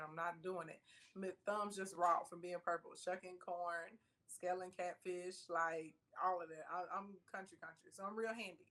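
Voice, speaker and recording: A woman with a Southern US accent talks at a fairly quick pace, her intonation fairly even. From US South, rural Arkansas (Scott). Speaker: entrepreneur and online personality. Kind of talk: interview.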